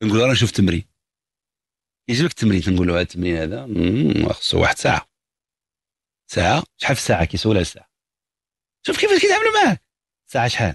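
A man at a very fast pace with long, frequent pauses, very even loudness, a dry sound with no echo and a quiet background. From Morocco. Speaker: psychologist answering callers; caller. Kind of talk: radio call-in advice. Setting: radio studio. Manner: animated. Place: studio.

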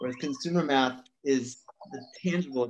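Medium male pitch at a moderate pace, with noticeable background noise. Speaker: life coach. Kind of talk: interview host, casual talk. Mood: thoughtful, reflective. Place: home room. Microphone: video call.

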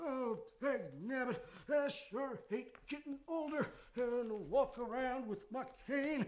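This is a put-on character voice with a high pitch. The delivery comes at a fairly slow pace.

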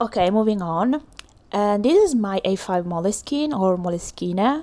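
In a strong Italian accent, a woman with a medium pitch and a dark, mellow tone talks at a moderate pace, her intonation lively and her loudness very even. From Italy. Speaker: illustrator. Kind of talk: tutorial voiceover.

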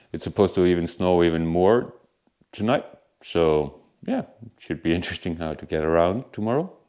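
A man talks at a moderate pace in a very deep, low pitch with a dark, mellow tone. His pitch varies in an ordinary way against a quiet background. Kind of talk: casual vlog chat. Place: home room. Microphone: lapel.

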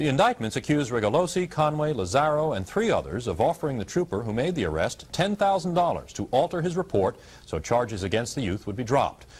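The man's voice is fairly high and carries vocal fry. He moves at a fairly quick pace with very wide pitch swings. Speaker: news anchor. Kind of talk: 1980s TV news report, scripted newsreading. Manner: formal, brisk, even-toned. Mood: serious, neutral. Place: studio. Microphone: lapel.

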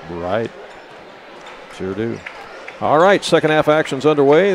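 Light background noise sits under a man's voice. He speaks at a moderate pace, and the sound is dry with no echo. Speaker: basketball play-by-play announcer. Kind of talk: live sports commentary, play-by-play call. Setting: courtside broadcast at a basketball game. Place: hall. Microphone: headset.

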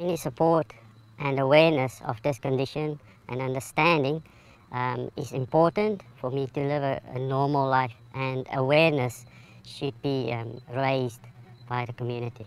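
A man puts on a squeaky character voice at a medium pitch, speaking at a moderate pace with ordinary pitch variation. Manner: hesitant.

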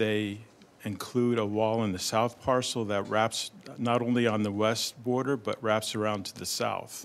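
A man's fairly low voice, flat and monotone, at a moderate pace. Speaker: presenter. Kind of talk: staff presentation. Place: meeting room.

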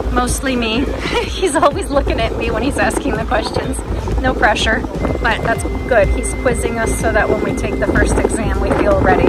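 Music plays in the background of this dry, echo-free recording, where the speech moves at a moderate pace. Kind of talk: casual vlog chat. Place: boat. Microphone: phone near.

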